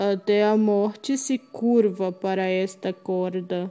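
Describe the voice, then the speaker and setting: A woman does a put-on character voice, sing-song and medium in pitch. She goes at a fairly slow pace over faint music in the background. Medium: read story. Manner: sing-song, gloating.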